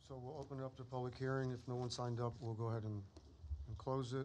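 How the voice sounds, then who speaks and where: Over light background noise, a man with an American accent and a dark, mellow tone talks very fast, with ordinary pitch variation. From South Texas. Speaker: board chairman. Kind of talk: public meeting procedure. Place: hall. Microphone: podium.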